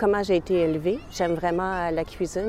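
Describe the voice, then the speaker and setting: This is a woman with a medium pitch. She has an ordinary speaking voice and fairly even intonation. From Montreal, Quebec. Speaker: interviewee sharing personal story. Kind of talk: personal testimony.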